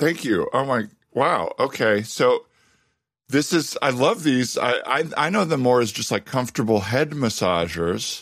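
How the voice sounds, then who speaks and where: Using lively intonation and a medium pitch, a man with an American accent and vocal fry talks at a fairly slow pace with very even loudness, recorded very cleanly against a silent background. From Arizona, US. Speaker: improv comedian and podcast host. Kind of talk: improv comedy podcast, casual chat with improvised scenes.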